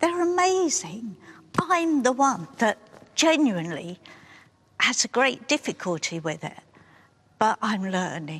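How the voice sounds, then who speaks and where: A woman with an English accent speaks in very wide pitch swings, leaving long, frequent pauses, in a dry, close recording with no echo. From England. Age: 60s. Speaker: participant in a documentary experiment. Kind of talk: documentary interview.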